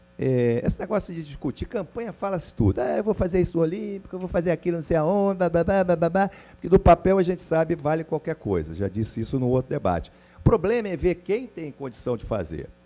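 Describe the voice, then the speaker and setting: Over music in the background, a man talks at a very fast pace with hardly any pauses, his high pitch moving in lively intonation. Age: 60s. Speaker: club presidential candidate. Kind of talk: heated debate. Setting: university auditorium with audience.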